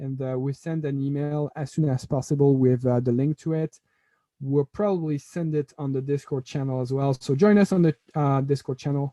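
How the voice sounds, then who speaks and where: The man's voice is fairly high in pitch yet dark and mellow in tone, with fairly even intonation. He speaks at a moderate pace, and the sound is dry and close with no echo. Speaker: software trainer. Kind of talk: live online tutorial.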